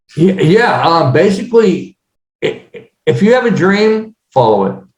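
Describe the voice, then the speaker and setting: Fairly slow and lively in intonation, a man talks at a high pitch. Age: 60s. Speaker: real estate business owner. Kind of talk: podcast interview. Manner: halting, many fillers.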